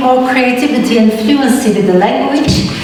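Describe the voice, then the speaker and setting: A woman speaks at a high pitch with fairly even intonation. Noticeable background noise runs underneath. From Turkey. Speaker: dance educator. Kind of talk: lecture presentation. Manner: hesitant, many fillers.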